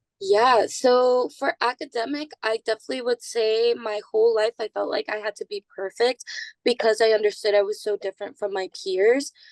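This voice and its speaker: With a Spanish accent, a woman talks at a moderate pace and fairly high pitch with lively intonation, in a dry, close sound with no echo. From East Boston, Massachusetts. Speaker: university student. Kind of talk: interview.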